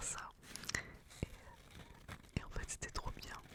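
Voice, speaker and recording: A woman whispers over noticeable background noise. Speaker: ASMR creator. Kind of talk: ASMR whispered talk. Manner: whispered.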